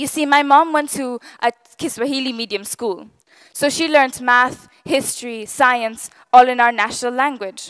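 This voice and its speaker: A woman with a Gujarati accent speaks at a moderate pace, her high pitch held in fairly even intonation. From East Africa. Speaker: public speaker. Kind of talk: talk to an audience.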